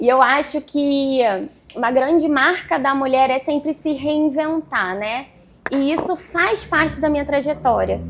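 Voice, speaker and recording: There is noticeable background noise behind a woman whose high voice shows ordinary pitch variation. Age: 30s. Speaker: real estate agent and vlogger. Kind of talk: panel talk at event.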